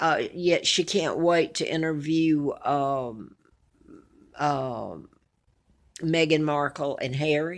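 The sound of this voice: In an Alabama accent, the speaker talks slowly with ordinary pitch variation and long, frequent pauses. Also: woman, low pitch for a woman. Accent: Southern US, Alabama.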